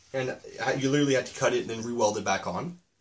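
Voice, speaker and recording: The man's voice is somewhat breathy. Its pitch is medium. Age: 20s. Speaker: auto mechanic and welder. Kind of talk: casual walkthrough of a car build. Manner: casual, with frequent fillers.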